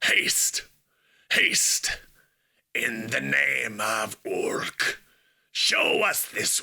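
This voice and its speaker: A man in a put-on character voice, raspy and very slow. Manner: menacing, imperious.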